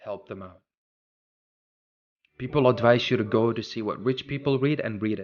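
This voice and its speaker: A man speaks with a non-native accent. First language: not English. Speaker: podcast host. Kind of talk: motivational talk.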